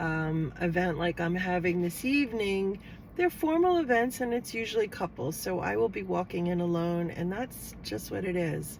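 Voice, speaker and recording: Her pitch is fairly low, and her intonation is lively. The woman keeps a moderate pace with hardly any pauses. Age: 60s. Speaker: lifestyle vlogger. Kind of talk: casual vlog talk to camera. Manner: hesitant, with fillers.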